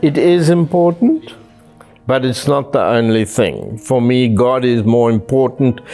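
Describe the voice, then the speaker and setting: Speaking at a medium pitch and a fairly slow pace, a man keeps his loudness very even. Music plays in the background. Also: ordinary pitch variation. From South Africa, Cape Town. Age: 70s. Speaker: retiree interviewee. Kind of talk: personal interview monologue.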